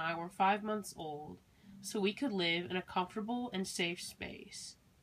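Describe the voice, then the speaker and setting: A woman with an ordinary speaking voice talks in an American accent. Her pace is moderate and her pitch is medium. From US Midwest, Milwaukee, Wisconsin. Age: young. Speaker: college student. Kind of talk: scripted narration. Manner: measured.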